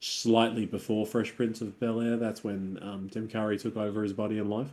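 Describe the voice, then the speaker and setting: A plain, everyday voice from a man, medium pitch, moderate pace. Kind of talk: casual chat. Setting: video call.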